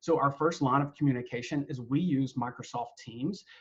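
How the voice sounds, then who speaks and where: Speaking in a North Carolina accent, a man talks at a fairly quick pace with a fairly high pitch. His voice is somewhat breathy, with ordinary pitch variation. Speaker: university staff member leading a webinar. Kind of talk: webinar presentation. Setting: online webinar with screen sharing. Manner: casual, with frequent fillers.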